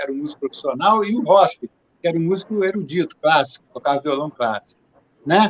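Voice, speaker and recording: With lively intonation and a dry, close sound with no echo, a man talks at a fairly quick pace. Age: 70s. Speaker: musician. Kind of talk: casual interview.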